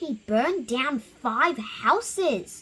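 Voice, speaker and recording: The pitch is high. A woman puts on a character voice. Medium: read story. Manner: loud, excitable.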